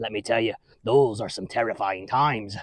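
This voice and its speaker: A man talks a fairly quick pace in a raspy, put-on character voice. His pitch is medium and his intonation fairly even. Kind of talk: children's church skit. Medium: solo performance. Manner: rambling, chuckling, folksy.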